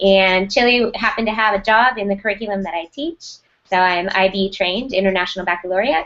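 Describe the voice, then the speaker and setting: At a very fast pace, a woman with an American accent speaks at medium pitch with ordinary pitch variation. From United States. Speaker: school technology director. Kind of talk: interview.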